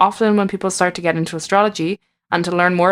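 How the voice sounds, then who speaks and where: In a very clean recording with a silent background, a woman with an Irish accent speaks at a medium pitch and a very fast pace. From Ireland. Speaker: tarot reader and astrologer. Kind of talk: podcast narration.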